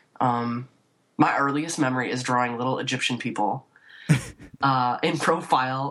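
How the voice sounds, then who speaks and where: The woman has a very deep, low pitch and an accent from Chicago. Her intonation is fairly even, and she pauses long and often. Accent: US Midwest (Chicago area). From northern Illinois (Waukegan, north of Chicago). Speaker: painter. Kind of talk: casual interview. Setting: remote call from her office.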